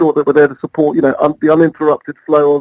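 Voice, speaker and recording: A man's voice in an English accent, dry and close with no echo. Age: 60s. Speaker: airport marketing head. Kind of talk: interview.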